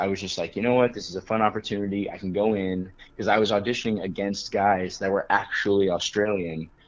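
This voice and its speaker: Very fast speech comes from a man with a General American accent. His pitch is fairly low and his intonation fairly even. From Colorado, US. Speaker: actor. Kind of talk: interview anecdote.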